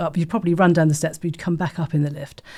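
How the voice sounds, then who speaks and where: A woman speaks with a southern English accent in a dark, mellow tone, her pitch fairly low. Her intonation is fairly even, and the recording is very clean with a silent background. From Folkestone, Kent, England. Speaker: artistic director. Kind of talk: oral history interview answer.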